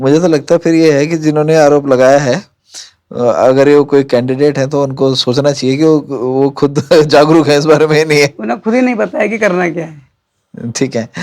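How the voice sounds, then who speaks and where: This man has an unremarkable speaking voice, fairly high in pitch with ordinary variation, at a moderate pace. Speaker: podcast host. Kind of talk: interview question.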